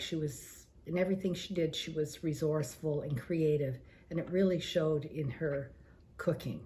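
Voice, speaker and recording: A woman with a fairly low pitch and ordinary pitch variation sounds somewhat breathy, with a dark, mellow tone. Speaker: senior cookbook participant. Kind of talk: personal reminiscence. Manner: hesitant, many fillers.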